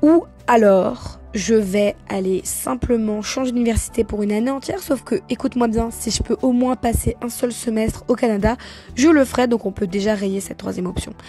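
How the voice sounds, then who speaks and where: A woman's fairly high pitch, ordinary pitch variation and moderate pace, with noticeable background noise. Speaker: vlogger, university student. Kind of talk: explanatory voiceover recap.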